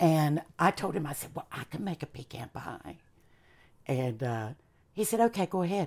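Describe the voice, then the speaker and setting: Over a very clean recording with a silent background, a woman with a Southern US accent and a very deep, low pitch speaks at a moderate pace, with very wide pitch swings, big swings in loudness, and long, frequent pauses. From US South, Charlotte, North Carolina. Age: 50s. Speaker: chef and former performer. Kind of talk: casual interview.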